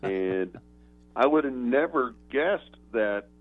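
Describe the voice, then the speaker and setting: A man of medium pitch talks with an American accent. Music plays in the background. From Oklahoma. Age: 60s. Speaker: retired sports journalist. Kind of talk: interview.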